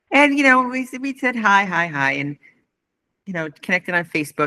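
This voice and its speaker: A woman's voice with vocal fry and very wide pitch swings at a moderate pace, dry and close with no echo, on a very clean recording with a silent background. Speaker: retired nurse, chorus singer. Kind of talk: interview answer.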